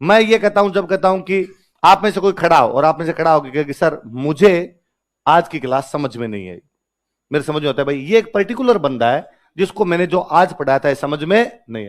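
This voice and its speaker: The man's pitch sits fairly high. His intonation is lively and his pace moderate. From Rajasthan, India (Marwari-speaking). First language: Marwari (Rajasthani) (speaking Hindi). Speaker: exam coaching teacher. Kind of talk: classroom lecture. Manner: animated.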